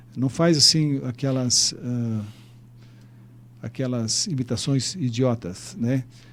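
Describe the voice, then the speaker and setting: At a very slow pace with long, frequent pauses, a man speaks at medium pitch with ordinary pitch variation. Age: 70s. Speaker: mayor. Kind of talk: interview. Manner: halting.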